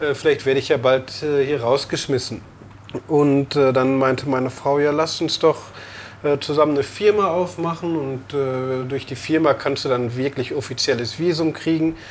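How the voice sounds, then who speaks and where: Here a man speaks with a fairly high pitch at a moderate pace. His intonation is fairly even. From Lower Rhine, Germany (Emmerich). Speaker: brewer and restaurant owner. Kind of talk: interview. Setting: in a bar. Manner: hesitant, many fillers.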